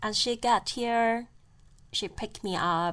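A woman with a Chinese accent speaks very slowly at a fairly high pitch on a very clean recording with a silent background. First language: Mandarin Chinese. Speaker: podcast host. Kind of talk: storytelling monologue.

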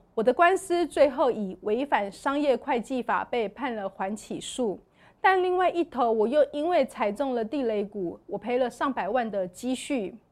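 On a very clean recording with a silent background, a woman speaks at a high pitch with very wide pitch swings. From Taiwan. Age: 40s. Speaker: church member sharing testimony. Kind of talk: testimony.

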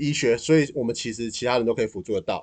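A man speaks with a dark, mellow tone. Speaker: nonprofit event planner. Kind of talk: casual chat.

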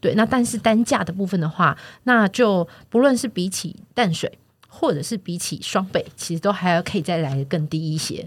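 A somewhat breathy woman with lively intonation on a very clean recording with a silent background. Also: medium pitch for a woman, moderate pace. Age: 40s. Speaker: real estate platform podcast host. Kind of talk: casual chat.

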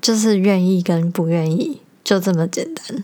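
Her speech moves at a very slow pace. The woman's pitch is medium. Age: 20s. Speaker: podcast host. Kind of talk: casual monologue; reading aloud.

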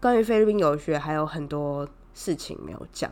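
The speaker has a Taiwanese accent, a moderate pace and ordinary pitch variation. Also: woman. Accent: Taiwanese Mandarin. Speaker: podcast host. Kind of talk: casual solo storytelling monologue.

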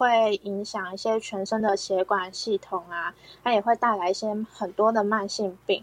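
An unremarkable speaking voice moves at a fairly slow pace with fairly even intonation. The sound is dry and close, with no echo. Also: woman. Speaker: health educator hosting talk. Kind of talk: health education talk. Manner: many filler particles.

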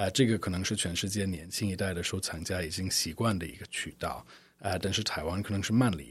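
Somewhat breathy, a man with a non-native accent speaks in a very deep, low pitch with fairly even intonation. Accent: fluent Mandarin, non-native. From United States. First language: English (speaking Chinese). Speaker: art fair director. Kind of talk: interview. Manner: frequent hesitations (呃).

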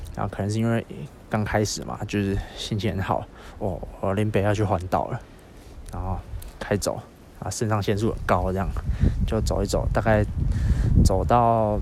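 A man with a Taiwanese accent speaks at a moderate pace, his fairly low pitch carrying vocal fry and fairly even intonation. Long, frequent pauses break up the speech, and audible room echo surrounds it. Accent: Taiwanese Mandarin. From Taiwan, Yilan. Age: 20s. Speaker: podcaster on a walking trip. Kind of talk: spoken travel diary. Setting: outdoors. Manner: halting, many fillers.

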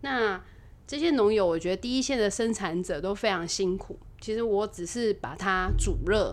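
With an ordinary speaking voice, a woman talks at a moderate pace with ordinary pitch variation. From Taiwan, Taipei. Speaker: restaurant owner and chef. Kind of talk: casual interview chat. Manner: cheerful, frequent laughter.

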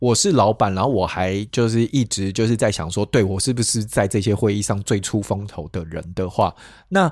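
On a very clean recording with a silent background, a man with a normal speaking voice and a fairly low pitch talks at a moderate pace. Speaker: podcast co-host. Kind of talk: casual chat about emotions.

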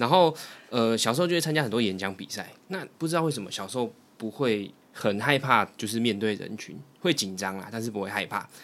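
This man has an ordinary speaking voice at medium pitch. He talks at a fairly quick pace with lively intonation. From Taiwan, Taipei. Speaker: guest experienced in job hunting. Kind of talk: casual chat.

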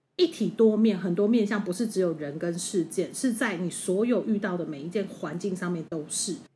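In a Taiwanese accent, the speaker's dark, mellow, somewhat breathy voice moves at a moderate pace with hardly any pauses and ordinary pitch variation. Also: woman, medium pitch for a woman. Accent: Taiwanese Mandarin. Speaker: podcast co-host. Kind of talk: casual chat.

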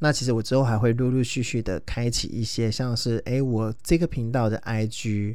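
Here a man speaks at a moderate pace with a medium pitch, a dark, mellow tone and fairly even intonation. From Taiwan, Taoyuan. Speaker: podcast host. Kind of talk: casual monologue. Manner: halting, many fillers.

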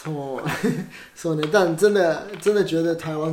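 Speaking in a Japanese accent, a man with a fairly high voice and ordinary pitch variation is heard over noticeable background noise and audible room echo. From Osaka, Japan. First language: Japanese (speaking Chinese). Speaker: actor. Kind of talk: casual chat.

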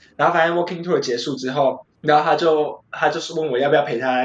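A man with a fairly high pitch talks very fast, his intonation fairly even. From Taiwan, Taichung. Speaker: podcast guest. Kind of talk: casual chat. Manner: laughs often.

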